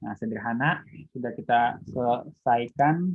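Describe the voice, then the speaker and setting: Going along at a fairly slow pace, a man holds a medium pitch that varies in an ordinary way. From Indonesia, not Betawi. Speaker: university lecturer. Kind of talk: online lecture. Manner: casual, with fillers.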